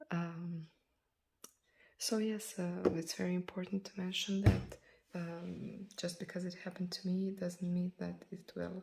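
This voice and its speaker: Speaking at a fairly slow pace, a woman uses a monotone, flat intonation at medium pitch, her tone dark, mellow and somewhat breathy. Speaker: nail polish vlogger. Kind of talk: casual product review vlog.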